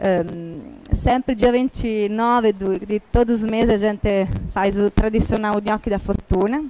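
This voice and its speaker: A woman with an Italian accent talks at a fairly slow pace, her fairly high voice keeping fairly even intonation. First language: Italian (speaking Portuguese). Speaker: restaurant manager. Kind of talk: event introduction. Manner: halting.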